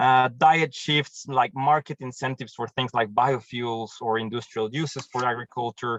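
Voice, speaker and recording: A man speaks in a Mexican accent. His intonation stays fairly even. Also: medium pitch for a man, moderate pace, hardly any pauses, dry, close sound with no echo. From Mexico. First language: Spanish. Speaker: programs manager at a tree-planting charity, agronomist. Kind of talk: webinar presentation.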